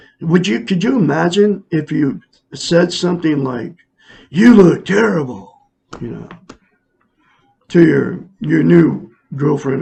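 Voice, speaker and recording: A man with an American accent speaks at a fairly slow pace, pausing long and often. His intonation is lively, with vocal fry running through it. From Oregon. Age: 60s. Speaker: self-help teacher. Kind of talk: casual monologue. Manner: halting.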